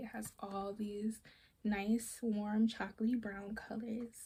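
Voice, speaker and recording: A woman speaks with a fairly high pitch, a dark, mellow tone, and a somewhat breathy quality. Her intonation stays fairly even. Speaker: beauty vlogger. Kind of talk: makeup tutorial chat. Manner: casual, rambling with self-corrections.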